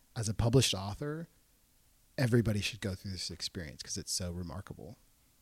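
A man's fairly low, somewhat breathy voice with lively intonation comes at a moderate pace, the sound dry and close with no echo on a very clean recording with a silent background. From Portland, Oregon. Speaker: entrepreneur and children's book publisher. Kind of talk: casual interview.

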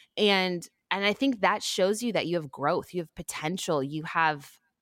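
A woman with an American accent and a normal speaking voice, medium pitch and lively intonation at a moderate pace. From Texas (Houston). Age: 30s. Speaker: TV shopping host and athlete. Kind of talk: interview conversation.

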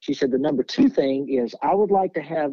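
A man with a Tennessee accent speaks at a moderate pace and fairly high pitch, with lively intonation. The sound is dry and close with no echo, and music plays in the background. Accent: Southern US (Tennessee). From Nashville, Tennessee. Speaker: music booking agent. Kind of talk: interview conversation.

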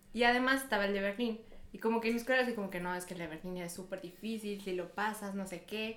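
Talking at a very fast pace, a woman with a medium pitch keeps her intonation fairly even despite noticeable background noise. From Mexico. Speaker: university student. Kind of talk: casual chat.

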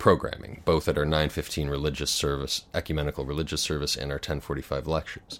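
Speaking at a moderate pace, this man has a very deep, low voice with vocal fry. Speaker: audio head and interviewer. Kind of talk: interview conversation. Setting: studio.

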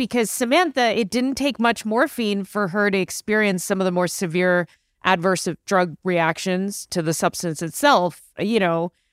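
An unremarkable speaking voice moves at a moderate pace with lively intonation. The recording is very clean, with a silent background. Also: woman, very even loudness. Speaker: medical doctor and stand-up comedian. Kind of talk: casual chat.

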